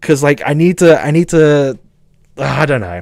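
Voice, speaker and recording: A man with a southern English accent speaks in an animated tone. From southern England. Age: 20s. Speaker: streamer. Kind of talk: casual chat. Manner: halting.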